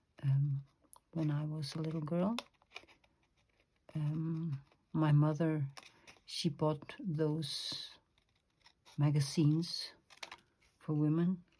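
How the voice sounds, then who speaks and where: A woman in a Danish accent, very deep and low, dark and mellow, somewhat breathy, in a monotone, flat intonation at a very slow pace with long, frequent pauses. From Denmark. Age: 50s. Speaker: crafter and illustrator. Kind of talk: craft tutorial. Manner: hesitant, many fillers.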